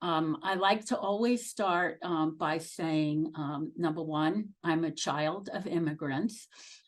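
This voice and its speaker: A woman with a Brooklyn accent speaks very slowly in a very deep, low voice. Her pitch variation is ordinary. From Brooklyn, New York. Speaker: nursing executive. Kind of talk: career talk to students. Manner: halting with many fillers.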